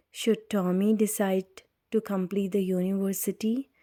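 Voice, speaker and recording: A soft-spoken woman whispers at a very slow pace on a very clean recording with a silent background. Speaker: audiobook reader. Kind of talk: reading aloud. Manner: whispering.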